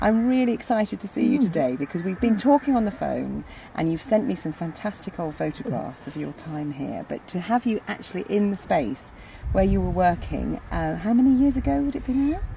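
A woman at a fairly quick pace with very wide pitch swings, dry sound with no echo, and light background noise. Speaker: head gardener. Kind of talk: interviewer questions. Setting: outdoors. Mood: warm, enthusiastic. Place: garden.

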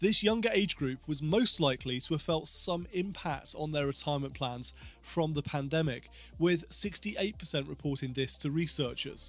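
A man talks at a moderate pace. Faint music plays behind him, and the sound is dry with no echo. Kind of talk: explainer talk to camera. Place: home room. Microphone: studio mic.

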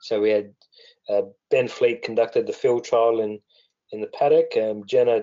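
Man with an Australian accent at a moderate pace. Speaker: weed science researcher. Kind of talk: webinar presentation. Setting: webinar call. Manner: hesitant, many fillers.

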